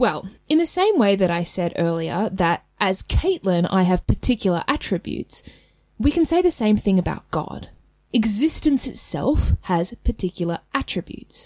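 A woman at a medium pitch and moderate pace, her pitch swinging very widely, in a dry, close sound with no echo. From Australia. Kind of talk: solo educational podcast talk. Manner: animated.

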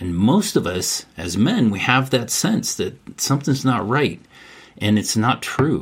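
This man has an ordinary speaking voice. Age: 60s. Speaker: men's mentor and grandfather. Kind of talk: casual interview conversation.

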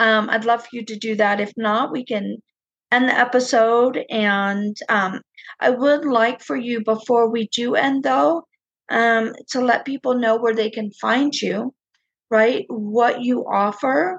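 An ordinary speaking voice from a woman, fairly high in pitch, at a fairly slow pace with ordinary pitch variation. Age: 50s. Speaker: podcast host and spiritual coach. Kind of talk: interview.

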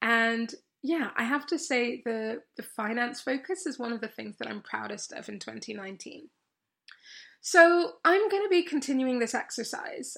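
On a very clean recording with a silent background, a woman with an English accent speaks in a high pitch, with very wide pitch swings and big swings in loudness. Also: moderate pace. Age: 30s. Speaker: podcast host and coach. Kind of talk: solo podcast monologue. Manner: animated.

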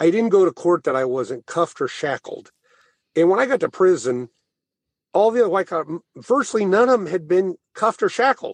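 A man with an American accent talks at a high pitch and a fairly quick pace, with very wide pitch swings. The sound is dry and close, with no echo. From rural Missouri (Thayer). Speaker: former banker and author. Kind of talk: interview.

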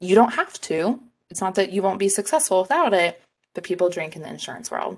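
A woman speaks at a medium pitch, at a fairly quick pace, with lively intonation and big swings in loudness. It's a plain, everyday voice. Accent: American. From Texas. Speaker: podcast co-host, insurance sales rep. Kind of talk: casual chat.

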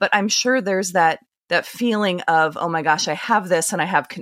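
On a very clean recording with a silent background and a dry, close sound with no echo, a woman with a normal speaking voice talks at a fairly low pitch and fairly quick pace with lively intonation. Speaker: podcast host. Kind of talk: casual interview.

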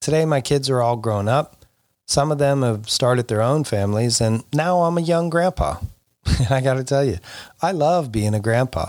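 A man with an American accent speaks in a normal speaking voice at medium pitch and a moderate pace, his intonation lively and his loudness very even, on a very clean recording with a silent background. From Florida. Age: 50s. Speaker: podcast host, youth soccer club director. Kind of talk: solo podcast monologue.

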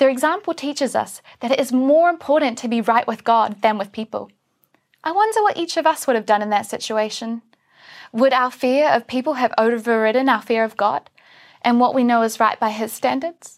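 A woman speaks with a New Zealand accent at a fairly quick pace. Her high pitch moves with ordinary variation, on a very clean recording with a silent background. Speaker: church speaker. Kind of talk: sermon.

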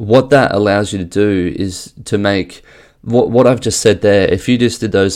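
A man with an unremarkable speaking voice talks at a fairly slow pace, his fairly low pitch moving in fairly even intonation. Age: 30s. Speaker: golf fitness coach and podcast host. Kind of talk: solo podcast monologue. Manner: frequent fillers and self-corrections.

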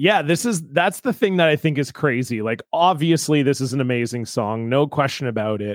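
On a very clean recording with a silent background, a man with a Canadian accent uses a plain, everyday voice, fairly high in pitch, with lively intonation, a fairly quick pace and hardly any pauses. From Ontario, Canada. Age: 30s. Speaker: comedian. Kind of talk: casual chat.

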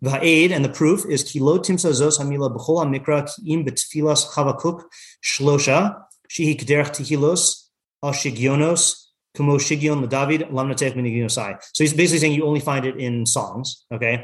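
This man talks with an American accent at a fairly quick pace. His voice is somewhat breathy. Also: fairly high pitch for a man, ordinary pitch variation. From US Pacific Northwest (Yakima, Washington). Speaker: rabbi and Torah teacher. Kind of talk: text study class. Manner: halting, many fillers.

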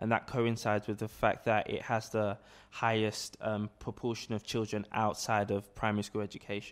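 In a London accent, a man talks at a moderate pace with a fairly low pitch, on a very clean recording with a silent background. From South London (Peckham, Camberwell). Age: 20s. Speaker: entrepreneur. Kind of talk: casual interview. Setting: office.

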